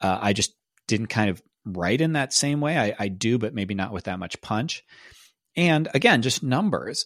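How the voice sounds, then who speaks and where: An unremarkable speaking voice moves at a moderate pace with lively intonation, captured with a dry, close sound with no echo on a very clean recording with a silent background. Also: man, medium pitch for a man. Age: 40s. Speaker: podcast host and author. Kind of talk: casual solo monologue. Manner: conversational with fillers and restarts.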